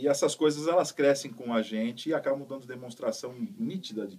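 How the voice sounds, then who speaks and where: In a plain, everyday voice, a man talks at a fairly quick pace. His pitch is medium and his intonation lively. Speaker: voice actor. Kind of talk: interview answer. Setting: radio studio.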